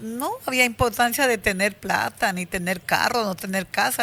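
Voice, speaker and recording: A woman with a bright, sharp tone speaks at a moderate pace with lively intonation. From Colombia, Putumayo (Puerto Limón). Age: 70s. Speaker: women's rights activist, former teacher. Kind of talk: interview testimony.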